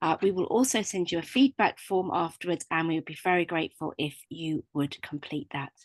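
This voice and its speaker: A woman with a British accent speaks at a moderate pace in a fairly low pitch with ordinary pitch variation. The sound is dry and close, with no echo. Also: quiet background. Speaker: webinar host. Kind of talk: webinar introduction and housekeeping. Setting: online webinar.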